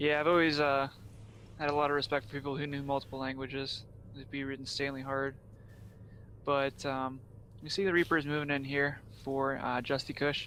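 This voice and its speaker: A man with a Pennsylvania accent speaks at a fairly quick pace with long, frequent pauses, a fairly high pitch and a bright, sharp tone. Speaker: esports caster. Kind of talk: live commentary. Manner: animated.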